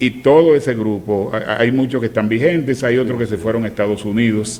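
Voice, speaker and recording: A man with a normal speaking voice talks at a moderate pace, his pitch medium. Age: 60s. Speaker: veteran radio announcer. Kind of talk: casual chat.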